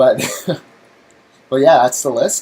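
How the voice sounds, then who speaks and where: Quiet man's voice over noticeable background noise. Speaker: YouTuber discussing card game news. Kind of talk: casual vlog. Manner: subdued, quiet; halting, many fillers.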